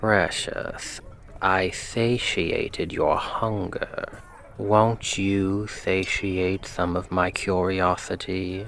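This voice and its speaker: A man puts on a character voice, fairly low in pitch, at a very slow pace. Background noise is clearly heard. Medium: solo performance. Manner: teasing, confident, flirtatious.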